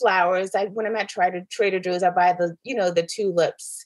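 With an American accent, a woman talks at a medium pitch in a plain, everyday voice. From New York, the Bronx, then Atlanta from age 14. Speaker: real estate agent. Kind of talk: casual interview. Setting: video call.

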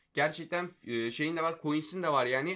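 A man speaks very fast in a bright, sharp tone. The background is quiet. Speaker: gaming YouTuber. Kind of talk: casual commentary on viewer submissions. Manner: animated.

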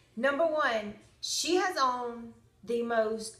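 Audible room echo surrounds the recording. A woman speaks with a high pitch. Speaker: makeup vlogger. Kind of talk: casual tutorial chat. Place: home room. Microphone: phone near.

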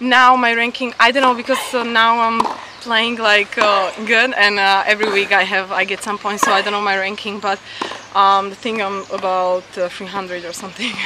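A woman talks at a moderate pace with fairly even intonation. Noticeable background noise runs underneath. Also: medium pitch for a woman, dry sound with no echo. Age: 20s. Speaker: professional tennis player. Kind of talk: post-match interview. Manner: halting. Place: open country. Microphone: camera far.

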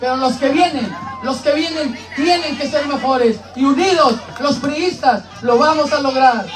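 Over crowd noise in the background, a man speaks at a fairly slow pace. His pitch is extremely high, with ordinary variation. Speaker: local party representative. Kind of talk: campaign rally speech. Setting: outdoor rally with crowd. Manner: emphatic, oratorical.

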